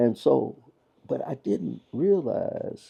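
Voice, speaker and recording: The speaker is a man. He has a Kentucky accent. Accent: Southern US (Kentucky). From Louisville, Kentucky. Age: 80s+. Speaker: pastor. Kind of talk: interview answer.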